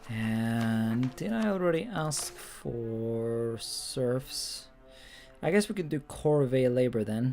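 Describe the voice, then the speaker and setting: Over music in the background, a speaker with a non-native accent talks at a very slow pace. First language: not English. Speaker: video game streamer. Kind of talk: casual live stream commentary. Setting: live stream at home. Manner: halting, filler-heavy.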